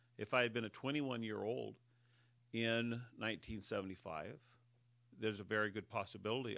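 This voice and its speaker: A bright, sharp voice with vocal fry moves at a very fast pace with ordinary pitch variation. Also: man. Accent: American. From Northern California, Humboldt County. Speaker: county sheriff. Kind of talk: interview. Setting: studio.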